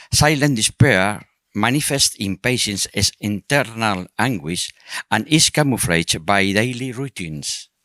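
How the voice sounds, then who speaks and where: The speaker has a non-native accent and a bright, sharp tone, moving at a fairly slow pace with lively intonation in a dry, close sound with no echo. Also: man, very clean recording, silent background. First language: not English. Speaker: psychologist and patient advocate. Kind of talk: reading aloud.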